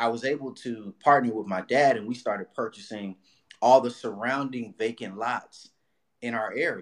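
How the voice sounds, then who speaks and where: With a Los Angeles accent, a man talks at a moderate pace in a medium pitch, his intonation fairly even while his loudness swings widely. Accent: Los Angeles American English. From Watts, Los Angeles. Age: 30s. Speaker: real estate broker and investor. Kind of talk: podcast interview.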